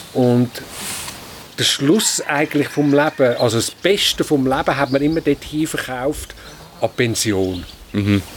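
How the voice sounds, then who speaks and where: Over noticeable background noise, a man talks at a fairly slow pace with long, frequent pauses. His pitch is fairly high, his intonation lively and his loudness very even. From Switzerland, canton Zurich. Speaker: farmer. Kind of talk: interview. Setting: on a farm.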